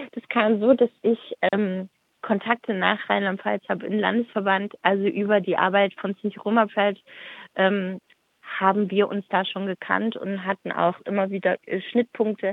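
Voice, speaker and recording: Her voice sits at a medium pitch and moves at a fairly slow pace. The woman's intonation is monotone and flat. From Stuttgart, Germany. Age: 30s. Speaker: activist. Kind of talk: interview. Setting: phone call. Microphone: phone line that drops out at times.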